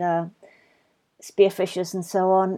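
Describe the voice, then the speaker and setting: A woman speaks with a southern English accent. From England, London. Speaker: marine scientist. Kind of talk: casual interview chat. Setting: video call.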